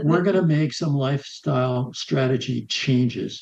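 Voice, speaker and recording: Somewhat breathy, this man's voice has a dark, mellow tone at a medium pitch. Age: 80s. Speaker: healthy aging coach and author. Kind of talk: interview answer.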